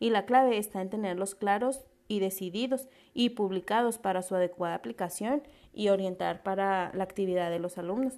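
A woman talks at a moderate pace with a medium pitch and ordinary pitch variation. Her tone is dark and mellow, and the recording is very clean with a silent background. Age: 20s. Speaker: pedagogy student and community teacher. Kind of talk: class presentation.

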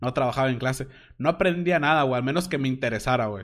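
The man's voice sits fairly high in pitch, with ordinary pitch variation. The background is quiet. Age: 20s. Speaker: podcast host and streamer. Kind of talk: casual monologue. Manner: animated.

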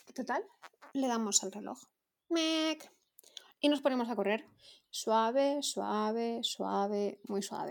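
Her delivery is very slow. Long pauses come often as the woman talks. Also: fairly high pitch for a woman, ordinary pitch variation. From Valencia region, Spain. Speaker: amateur runner, listener. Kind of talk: anecdote.

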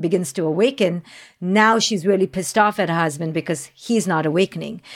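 Someone speaks in an Indian accent at a fairly quick pace. Pitch variation is ordinary. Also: woman, very clean recording, silent background. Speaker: clinical psychologist and parenting expert. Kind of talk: interview. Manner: articulate.

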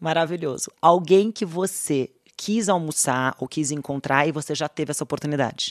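This woman's voice sits at a very deep, low pitch, with ordinary pitch variation and a moderate pace. The sound is dry and close, with no echo. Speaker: podcast host, finance executive. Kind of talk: interview.

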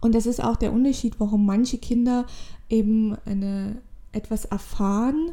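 A woman speaks at a moderate pace with a fairly high pitch and a dark, mellow tone. Her voice is somewhat breathy, with fairly even intonation and very even loudness. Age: 20s. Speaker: spiritual podcaster. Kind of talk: solo spiritual monologue. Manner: halting.

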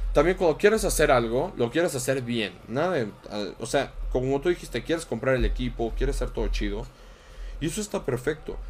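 With a Mexican accent, a man keeps to a moderate pace. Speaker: streamer. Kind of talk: casual chat.

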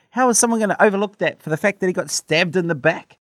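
The recording of this man is very clean, with a silent background and a dry, close sound free of echo. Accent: New Zealand. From New Zealand. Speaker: podcast co-host. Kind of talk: casual chat.

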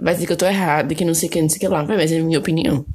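Against noticeable background noise, a woman speaks in an animated tone at a fairly low pitch. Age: 20s. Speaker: podcast host. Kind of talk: casual solo monologue.

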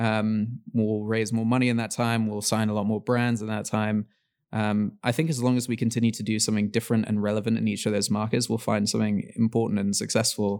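In a very clean recording with a silent background, a man with an English accent talks at a fairly quick pace in a monotone, flat intonation and a fairly low pitch. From England, London. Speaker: startup founder and CEO. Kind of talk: interview.

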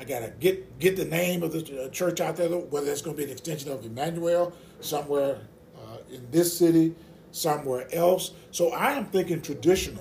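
A man with a Mississippi accent speaks at a moderate pace in a fairly high pitch, with ordinary pitch variation and big swings in loudness. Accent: US Southern (Mississippi). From rural Mississippi. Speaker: associate pastor, Navy veteran. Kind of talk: casual interview about faith.

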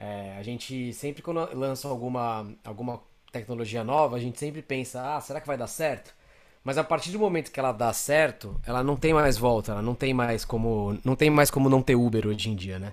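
This man has a plain, everyday voice at medium pitch, talking at a moderate pace with ordinary pitch variation on a very clean recording with a silent background. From Brazil, São Paulo. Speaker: creative director and designer. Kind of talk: interview conversation.

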